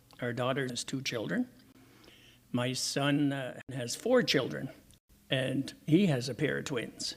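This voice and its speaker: In a Quebec accent, a man talks at a moderate pace and medium pitch. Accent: English-speaking Quebec Canadian. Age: 70s. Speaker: retired teacher. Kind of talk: interview.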